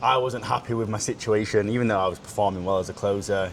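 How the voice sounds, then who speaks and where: Over noticeable background noise, a man with a fairly low pitch and fairly even intonation speaks at a very fast pace. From United Kingdom. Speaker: sales consultant, podcast co-host. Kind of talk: casual chat.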